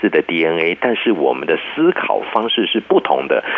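A man speaks moderately fast while noticeable noise runs in the background. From Taiwan. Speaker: psychology professor. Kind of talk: interview.

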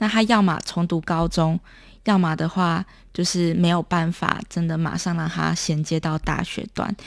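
A woman speaks in a plain, everyday voice at fairly low pitch and a fairly slow pace. Her intonation stays fairly even on a very clean recording with a silent background. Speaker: documentary filmmaker. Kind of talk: interview.

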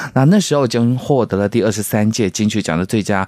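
A man speaks fairly quickly with ordinary pitch variation while noticeable background noise carries on. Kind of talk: radio interview chat.

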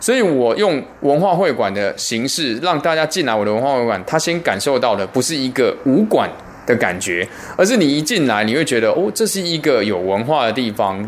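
Amid noticeable background noise, a man talks at a fairly quick pace. His fairly high voice makes very wide pitch swings. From Taiwan. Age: 40s. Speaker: martial arts teacher. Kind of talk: interview.

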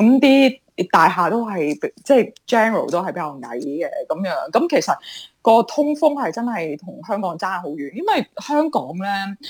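A woman at medium pitch, with very wide pitch swings and big swings in loudness. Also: fairly slow pace. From Hong Kong. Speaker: entrepreneur. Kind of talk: interview.

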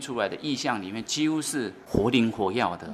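A man is speaking at a moderate pace. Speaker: village chief. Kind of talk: interview.

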